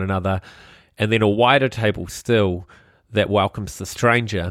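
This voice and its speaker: On a very clean recording with a silent background, a man with a fairly low pitch speaks in a New Zealand accent. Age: 30s. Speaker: podcast host, church network leader. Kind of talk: casual chat about faith.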